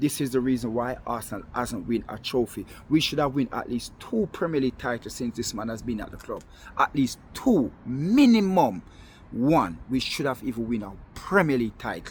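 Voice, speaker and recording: An animated man with a Jamaican accent, lively intonation and a moderate pace. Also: medium pitch for a man. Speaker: football fan vlogger. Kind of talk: monologue video rant.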